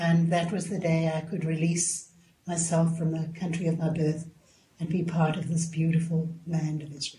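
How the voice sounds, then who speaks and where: A woman talks at a moderate pace with a South African accent. Her intonation stays flat and monotone. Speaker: spiritual guest. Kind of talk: radio interview.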